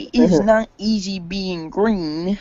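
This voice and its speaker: This is a put-on character voice that sounds female, pitched in the middle range for a woman. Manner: lamenting, put-on.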